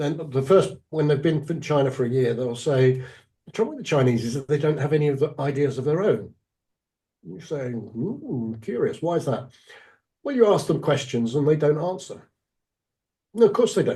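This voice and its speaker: With a dark, mellow tone and a somewhat breathy quality, a man speaks at a fairly high pitch, his intonation lively and broken by long, frequent pauses. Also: moderate pace. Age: 60s. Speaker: executive coach. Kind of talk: interview.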